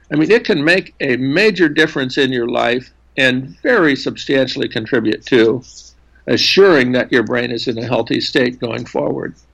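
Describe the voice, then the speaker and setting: A man with vocal fry speaks at medium pitch and a moderate pace, with ordinary pitch variation. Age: 70s. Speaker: neuroscientist. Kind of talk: interview. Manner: halting.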